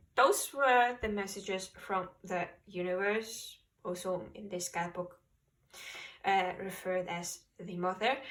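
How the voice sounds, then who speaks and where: A woman's medium-pitched voice, very slow, with long, frequent pauses, fairly even intonation, and big swings in loudness. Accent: non-native. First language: not English. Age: 20s. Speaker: tarot reader. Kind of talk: tarot reading.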